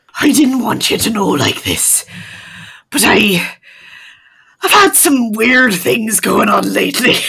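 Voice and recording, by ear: Using a put-on character voice, a woman speaks slowly at a fairly high pitch, her tone bright and sharp with vocal fry and lively intonation.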